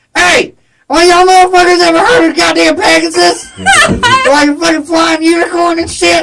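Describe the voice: In a put-on character voice, shrill and extremely high-pitched, the speaker keeps a moderate pace.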